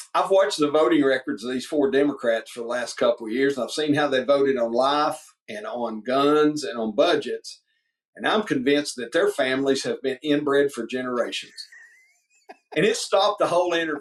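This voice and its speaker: A man with a Southern US accent talks at a fairly quick pace, his voice fairly high. His tone is animated, with ordinary pitch variation. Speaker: politician, state representative running for governor. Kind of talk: interview. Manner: animated storytelling.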